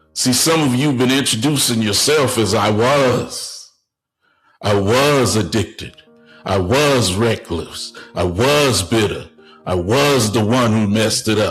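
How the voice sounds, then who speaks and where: Music plays behind a man speaking at a medium pitch and fairly slow pace. His loudness is very even, with ordinary pitch variation. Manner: preaching, rhetorical, paused delivery.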